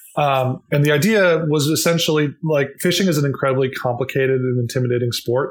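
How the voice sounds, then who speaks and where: At a fairly quick pace and very even loudness, a somewhat breathy man with an American accent talks at a fairly high pitch with ordinary pitch variation. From Minnesota, US Midwest. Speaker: company founder. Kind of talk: interview.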